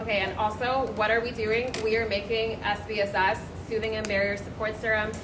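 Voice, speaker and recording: A woman's fairly high voice at a fairly quick pace, monotone and flat, with noticeable background noise and audible room echo. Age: young. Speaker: cosmetic scientist. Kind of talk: livestream product demo. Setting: lab. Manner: casual.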